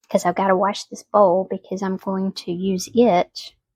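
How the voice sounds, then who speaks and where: With a Southern US accent, a woman speaks somewhat breathily at a medium pitch and a fairly slow pace, the sound dry and close with no echo. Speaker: home cooking vlogger. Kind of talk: cooking tutorial. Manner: casual, chatty; soft-spoken.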